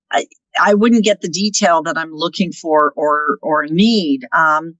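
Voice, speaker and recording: In an unremarkable speaking voice, a woman with a fairly low pitch talks at a fairly slow pace with ordinary pitch variation, in a dry, close sound with no echo. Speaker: real estate team managing partner. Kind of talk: podcast interview.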